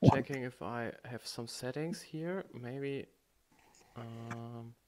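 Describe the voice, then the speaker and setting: Someone with a German accent speaks at a very slow pace. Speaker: livestream host. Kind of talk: casual chat. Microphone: too quiet.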